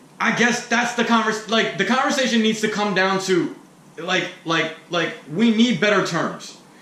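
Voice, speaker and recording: A man talks loudly at a moderate pace, his pitch high. Noticeable background noise sits behind him. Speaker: rapper and podcast host. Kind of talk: casual podcast conversation. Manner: loud, talkative.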